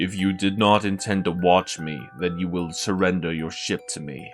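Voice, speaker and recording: A put-on character voice from a man, very deep and low, fairly even in intonation at a moderate pace, with clear music in the background. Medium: virtual streamer. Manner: cold, menacing.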